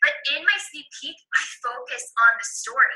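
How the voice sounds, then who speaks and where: The voice is raised and projected. Its pitch swings very widely. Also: woman. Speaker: fitness coach. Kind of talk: coaching tutorial. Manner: loud; fast.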